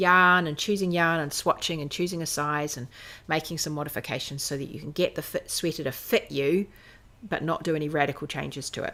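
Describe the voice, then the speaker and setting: A woman's very deep, low voice in a New Zealand accent, bright and sharp in tone, fairly quick and fairly even, on a very clean recording with a silent background. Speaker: knitting designer and podcast host. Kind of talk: casual chat. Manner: hesitant with fillers.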